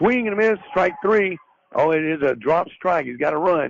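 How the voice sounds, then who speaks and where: A man talks with a Southern US accent. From US South. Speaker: radio sports play-by-play announcer. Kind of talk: live commentary. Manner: conversational, folksy.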